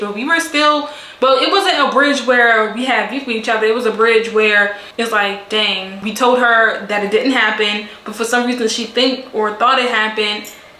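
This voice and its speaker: Over noticeable background noise and audible room echo, a woman speaks in an animated tone. Her fairly high voice moves with ordinary pitch variation. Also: hardly any pauses. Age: 20s. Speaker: beauty and storytime vlogger. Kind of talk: casual storytime monologue.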